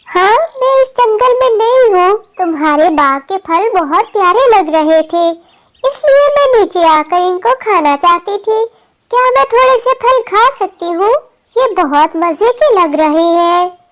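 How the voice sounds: A female-sounding cartoonish character voice speaks at a moderate pace with an extremely high pitch.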